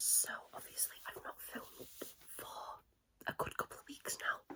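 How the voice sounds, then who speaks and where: Someone whispers at a moderate pace. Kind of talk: ASMR manga recommendation, casual talk to camera. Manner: whispered, casual.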